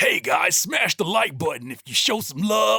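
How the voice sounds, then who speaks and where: Shouting in a put-on character voice, a man uses a high pitch with very wide pitch swings at a moderate pace. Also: big swings in loudness. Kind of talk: influencer salesy. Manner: hyped, cheesy.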